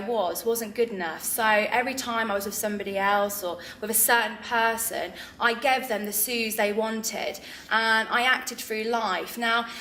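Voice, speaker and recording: A woman with a fairly high pitch speaks at a moderate pace, with audible room echo and noticeable background noise. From England, Northamptonshire (Kettering) and Lincoln. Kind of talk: interview testimony. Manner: hesitant with frequent fillers.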